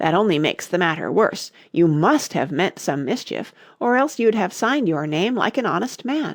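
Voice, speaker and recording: Putting on a character voice, a man goes raspy and high-pitched with very wide pitch swings, moving at a moderate pace with hardly any pauses. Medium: read story. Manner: grave, pompous.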